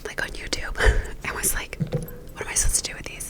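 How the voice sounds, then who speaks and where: Someone whispers over noticeable background noise. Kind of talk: ASMR whispered get-ready-with-me ramble. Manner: whispered, soft-spoken.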